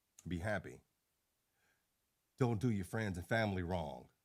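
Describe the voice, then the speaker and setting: A man's voice with vocal fry at a moderate pace. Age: 50s. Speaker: YouTuber. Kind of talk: casual vlog monologue. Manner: unscripted, unedited talk.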